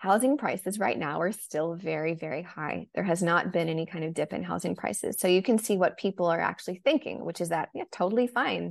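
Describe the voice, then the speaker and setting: Talking at a fairly quick pace with hardly any pauses, the speaker has an American accent, lively intonation and vocal fry. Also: woman, fairly low pitch for a woman. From United States. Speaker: journalist and author. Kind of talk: interview.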